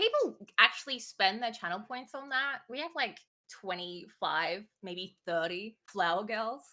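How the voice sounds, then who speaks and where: With an Australian accent, a woman speaks at a fairly slow pace in a fairly high, bright, sharp voice, her intonation lively and her loudness swinging widely. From Australia, Queensland. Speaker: Twitch streamer. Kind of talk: interview.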